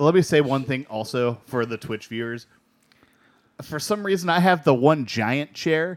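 A man at a moderate pace, fairly high in pitch, with lively intonation and a normal speaking voice. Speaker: beer podcast co-host. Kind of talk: casual chat. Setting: studio.

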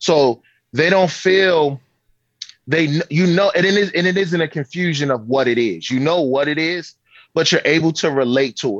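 At a moderate pace, a man with an American accent speaks in an ordinary speaking voice, his pitch fairly high and his pitch variation ordinary. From Baltimore, US. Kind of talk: casual interview. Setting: video call.

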